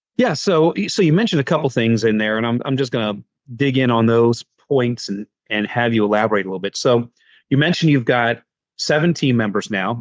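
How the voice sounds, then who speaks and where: An unremarkable speaking voice from a man with an American accent, medium in pitch with ordinary pitch variation, at a fairly quick pace against a quiet background. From United States. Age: 50s. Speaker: podcast host. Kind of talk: interview.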